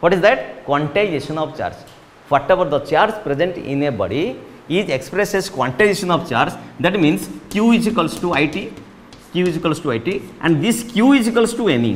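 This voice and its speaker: Here a man talks at a moderate pace with lively intonation. Light background noise can be heard. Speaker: physics teacher. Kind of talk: lecture. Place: classroom. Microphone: lapel.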